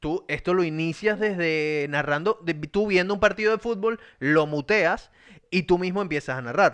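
With a Venezuelan accent, a man talks in an animated tone at a high pitch against a quiet background. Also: ordinary pitch variation, moderate pace, dry, close sound with no echo. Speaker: podcast host. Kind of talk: casual chat.

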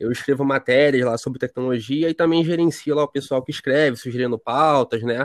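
In a normal speaking voice, a man talks at a fairly quick pace with fairly even intonation, the sound dry and close with no echo over a quiet background. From Rio de Janeiro, Brazil. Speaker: tech writer and editor. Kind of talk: podcast interview.

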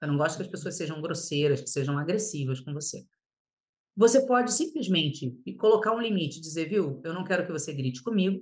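A woman talks at a fairly quick pace in a fairly low, somewhat breathy voice. Her intonation is lively. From Paraná, Brazil (born in Rio de Janeiro). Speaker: lawyer and mentor. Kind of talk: podcast interview.

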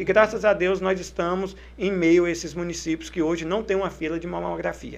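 A man speaks at a fairly quick pace. He hardly pauses at all. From Brazil, Tocantins. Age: 30s. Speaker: mayor. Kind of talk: interview. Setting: studio.

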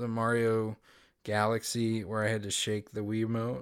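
In a very clean recording with a silent background, the speech proceeds at a moderate pace. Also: man. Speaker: podcast host. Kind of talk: casual chat.

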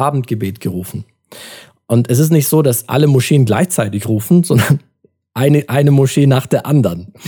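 This man's voice is fairly high-pitched, with a dark, mellow tone and a somewhat breathy quality. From Germany (Turkish family, Adana roots). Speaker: podcast host. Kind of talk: casual chat.

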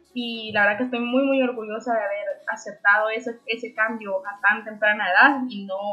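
A woman with a fairly high pitch talks at a moderate pace with fairly even intonation against noticeable background noise. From Honduras, Ocotepeque (western Honduras). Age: 20s. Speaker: young entrepreneur, event venue owner. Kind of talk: interview.

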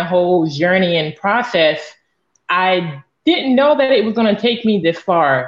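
This woman has a normal speaking voice with an American accent and a fairly low pitch. She speaks at a fairly slow pace. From northeast Florida. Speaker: abstract artist. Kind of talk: interview.

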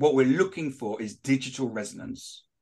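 A man with a British accent speaks in a fairly high voice. His pitch swings very widely, and the background is quiet. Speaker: author and social selling expert. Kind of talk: interview. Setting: studio.

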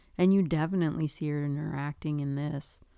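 A woman's very deep, low voice with a Minnesotan accent, ordinary pitch variation and a moderate pace, on a very clean recording with a silent background. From Duluth, Minnesota. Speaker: podcast co-host, mother of host. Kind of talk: casual chat.

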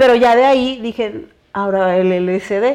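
The woman's voice sits at a fairly high pitch with ordinary pitch variation. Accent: Mexican. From Mexico, Veracruz and Chiapas. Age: 30s. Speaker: illustrator and cannabis blogger. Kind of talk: casual interview chat.

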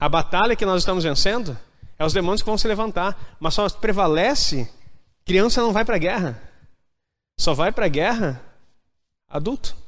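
A man talks at a moderate pace with high pitch and lively intonation, his loudness very even. Long, frequent pauses break up his speech, and audible room echo surrounds it. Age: 40s. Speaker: pastor. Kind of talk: sermon. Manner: animated.

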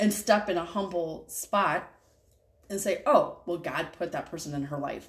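A woman talks at a moderate pace with a medium pitch and ordinary pitch variation. Her voice is somewhat breathy. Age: 30s. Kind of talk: casual faith conversation.

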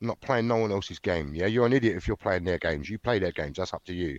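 A man speaks with a South London accent and lively intonation. The background is quiet. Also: dry, close sound with no echo. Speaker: former criminal turned author. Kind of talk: interview.

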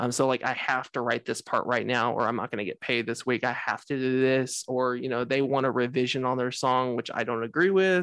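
A man with an American accent speaks in a normal speaking voice at a fairly quick pace, with fairly even intonation. The sound is dry and close with no echo, over a quiet background. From Texas, Dallas-Fort Worth area. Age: 20s. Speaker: singer, songwriter and producer. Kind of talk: casual interview chat.

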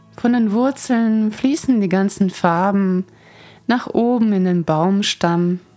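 A woman speaks very slowly in a warm, calm tone at medium pitch, with ordinary pitch variation. Her loudness stays very even while music plays in the background. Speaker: Reiki master and teacher, podcast host. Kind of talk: guided meditation, calm spoken guidance. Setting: studio recording, podcast. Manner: slow, soft-spoken, soothing, gentle pace; warm, calm, dreamy, with pauses.

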